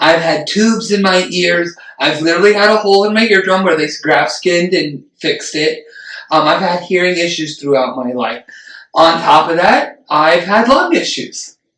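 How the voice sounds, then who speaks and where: Loud and high-pitched, a man talks at a moderate pace with ordinary pitch variation. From Puerto Rican family. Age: 30s. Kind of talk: casual chat. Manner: animated.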